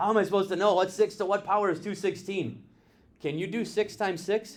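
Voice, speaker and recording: Very fast and high-pitched, a man speaks with fairly even intonation. The recording is very clean, with a silent background. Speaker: math teacher. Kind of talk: classroom lecture. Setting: classroom with students.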